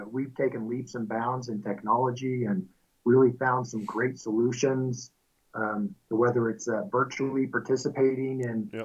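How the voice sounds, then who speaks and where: Here a man talks at a moderate pace and medium pitch in a Midwestern American accent. His intonation stays fairly even. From US Midwest, central Kansas. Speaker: milling company executive. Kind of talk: interview.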